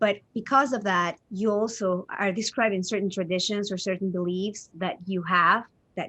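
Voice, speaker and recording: A woman with a Spanish accent, medium pitch, bright, sharp tone, fairly even intonation and moderate pace. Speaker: interviewer. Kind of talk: interview.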